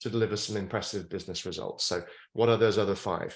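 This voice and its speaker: With a British accent, a man talks at a fairly low pitch with fairly even intonation. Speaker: futurist and author. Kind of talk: interview.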